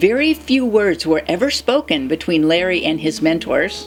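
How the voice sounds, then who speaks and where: A woman's medium-pitched voice with very wide pitch swings, music playing behind her. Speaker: spiritual channel host. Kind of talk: spoken spiritual commentary.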